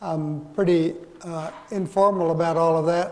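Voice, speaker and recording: A man with a high voice and fairly even intonation. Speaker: course instructor. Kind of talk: lecture. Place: hall.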